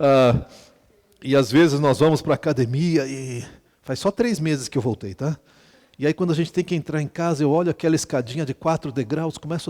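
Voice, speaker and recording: An unremarkable speaking voice at a fairly quick pace with lively intonation, dry and close with no echo. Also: man. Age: 60s. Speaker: pastor. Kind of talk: sermon. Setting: retreat with audience. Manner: conversational, humorous asides.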